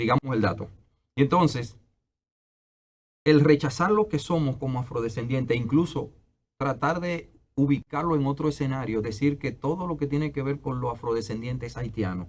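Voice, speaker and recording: This man's voice sits at a medium pitch. It sounds somewhat breathy. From Dominican Republic. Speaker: anthropologist and historian. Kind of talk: interview.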